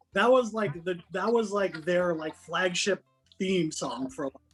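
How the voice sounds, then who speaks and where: Music plays in the background as a man with a high pitch talks at a fairly slow pace with ordinary pitch variation. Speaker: DJ. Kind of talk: casual chat.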